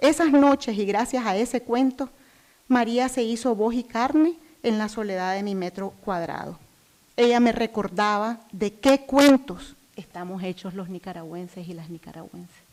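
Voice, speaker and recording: A woman's normal speaking voice, fairly high in pitch, fairly slow, with lively intonation and big swings in loudness. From Nicaragua. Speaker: human rights activist. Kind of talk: prepared speech introduction.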